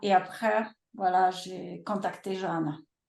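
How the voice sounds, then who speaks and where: With a Polish accent, a woman talks at a very slow pace and medium pitch. Her intonation is fairly even, and there is audible room echo. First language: Polish (speaking French). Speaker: publisher. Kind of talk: webinar interview. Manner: halting, many hesitations.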